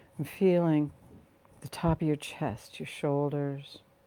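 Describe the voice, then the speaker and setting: In a very clean recording with a silent background, a woman with an American accent speaks very slowly in a calm, dark, mellow tone with fairly even intonation. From Virginia, USA. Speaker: guided meditation teacher and healing practitioner. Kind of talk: guided meditation. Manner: calm, nurturing, slow-paced.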